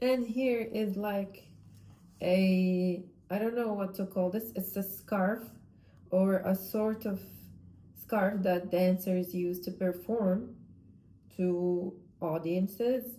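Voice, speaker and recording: A woman's dark, mellow voice at medium pitch, with a non-native accent, fairly even intonation, a very slow pace and long, frequent pauses. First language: not English. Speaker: vlogger, amateur artist. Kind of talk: casual monologue vlog. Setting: at home. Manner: halting, self-correcting.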